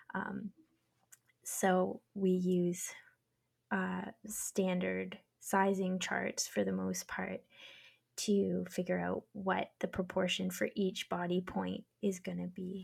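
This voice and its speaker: The recording is very clean, with a silent background. A woman with a Canadian accent speaks at a very slow pace. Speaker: knitwear designer. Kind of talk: casual chat.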